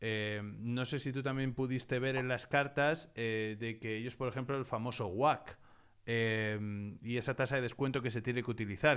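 Fairly even intonation at a moderate pace over a quiet background. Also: man. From Spain. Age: 30s. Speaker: investing educator and channel host; investing educator, channel host. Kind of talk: interview / online masterclass. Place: home room. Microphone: studio mic.

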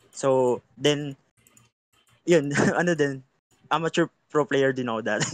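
A man in a Filipino accent speaks at a moderate pace, with a dry sound with no echo and a quiet background. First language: Tagalog. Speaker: general manager candidate, esports player; candidate. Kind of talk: candidate Q&A panel. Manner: halting. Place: home room. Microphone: video call.

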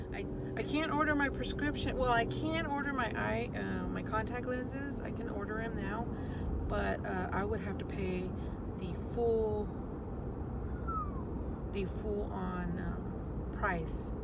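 A woman at a fairly slow pace with long, frequent pauses, in dry sound with no echo and loud background noise. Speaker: vlogger. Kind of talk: casual vlog chat. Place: car. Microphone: phone near.

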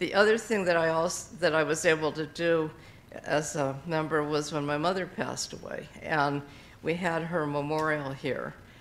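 This woman has a very deep, low pitch. She speaks at a moderate pace with fairly even intonation. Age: 80s+. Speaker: retired librarian. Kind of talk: testimony. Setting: church. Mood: warm, reflective. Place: church.

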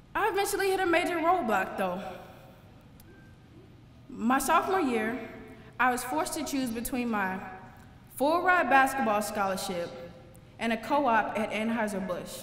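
Through audible room echo, a woman with an American accent speaks at a high pitch and a moderate pace, with very wide pitch swings and long, frequent pauses. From St. Louis, Missouri, USA. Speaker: engineering graduate and former college basketball player. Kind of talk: commencement speech to graduates. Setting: live ceremony, speaking to an audience. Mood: earnest, reflective. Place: hall. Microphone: podium.

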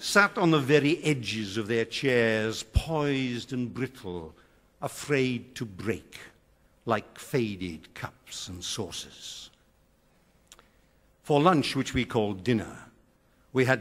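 Lively in intonation, a man with a Welsh accent speaks at a very slow pace with long, frequent pauses. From South Wales. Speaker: retired schoolteacher. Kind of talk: poetry reading. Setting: theatre stage. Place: stage.

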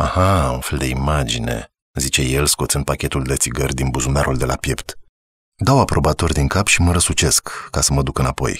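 The voice has vocal fry and a calm tone, with fairly even intonation at a moderate pace, in dry, close sound with no echo. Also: man, very deep, low pitch for a man. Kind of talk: audiobook narration. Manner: measured, calm, storytelling pace with a reflective tone.

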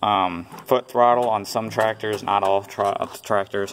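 There's light background noise as a man talks with fairly even intonation. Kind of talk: tutorial. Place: farm machine.

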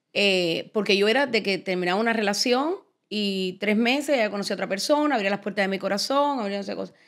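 The background stays quiet. A woman delivers her words at a fairly quick pace, her pitch varying in an ordinary way. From Cuba. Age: 50s. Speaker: podcast host. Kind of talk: casual interview chat. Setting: studio set. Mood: reflective, personal storytelling. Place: studio. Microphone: studio mic.

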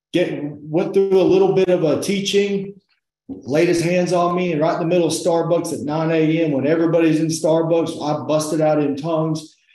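A man with a high pitch talks at a moderate pace. His intonation is fairly even, and the room echo is audible. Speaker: interview guest. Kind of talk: testimony interview answer. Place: home room. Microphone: video call.

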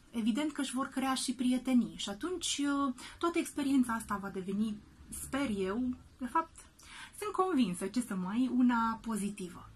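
Lively intonation at a moderate pace in a woman's high-pitched voice. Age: 30s. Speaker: actress and children's drama teacher. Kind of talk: video message to parents. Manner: hesitant with frequent fillers.

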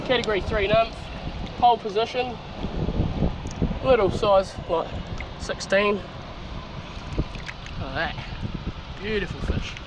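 Noticeable background noise sits under a voice that moves at a fairly slow pace, the sound dry with no echo. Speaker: angler vlogger. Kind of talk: casual vlog chat. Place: waterside. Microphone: phone near.

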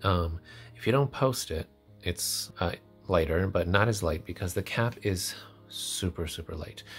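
Over music in the background, a man speaks at a fairly slow pace in a very deep, low voice with ordinary pitch variation. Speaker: fountain pen reviewer. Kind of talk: casual review talk to camera. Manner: chatty, hesitant.

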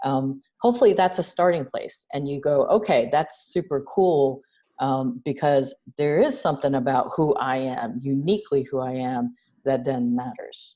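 Speaking at a moderate pace with an American accent, a woman has a very deep, low pitch and ordinary pitch variation over a quiet background. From New York. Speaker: nonprofit founder and CEO. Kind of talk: interview conversation. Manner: animated. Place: home room.

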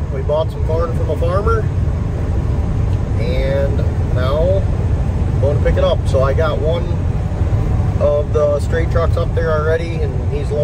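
A man speaks at a fairly slow pace with long, frequent pauses. Loud background noise is present, though the sound is dry with no echo. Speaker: farmer vlogger. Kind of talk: casual vlog chat. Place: car. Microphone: phone near.

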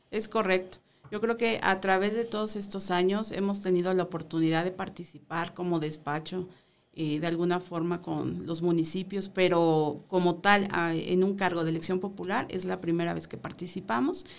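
A woman's fairly low voice with fairly even intonation at a moderate pace. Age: 40s. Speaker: mayoral candidate; candidate. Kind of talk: radio interview. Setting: radio studio. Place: studio. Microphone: studio mic.

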